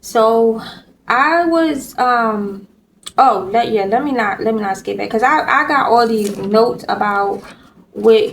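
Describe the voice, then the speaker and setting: Woman at a fairly slow pace, ordinary pitch variation, audible room echo. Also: fairly high pitch for a woman. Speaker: vlogger. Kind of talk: casual vlog monologue. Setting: hospital room. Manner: halting, stuttering.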